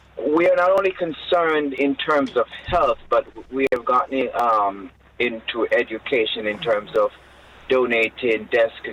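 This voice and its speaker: Over noticeable background noise, a man with a Jamaican accent speaks at a fairly slow pace. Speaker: bishop, charity leader. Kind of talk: radio interview.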